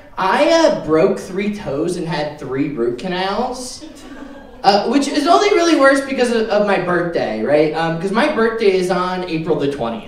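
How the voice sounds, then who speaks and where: Amid audible room echo, a man with a high pitch speaks at a fairly slow pace with very wide pitch swings. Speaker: stand-up comedian. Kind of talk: stand-up comedy set, crowd-work punchlines with pauses for laughs. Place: stage.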